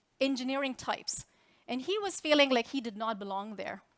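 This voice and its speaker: A woman with a non-native accent and a high pitch speaks at a fairly quick pace with very wide pitch swings. The very clean recording has a silent background and a dry, close sound with no echo. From India. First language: Indian language. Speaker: tech executive. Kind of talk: keynote speech. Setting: stage with audience.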